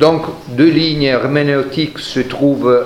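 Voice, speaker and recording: A man speaking at a very slow pace, with audible room echo and noticeable background noise. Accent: Italian. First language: Italian (speaking French). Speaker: historian, professor. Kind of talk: lecture.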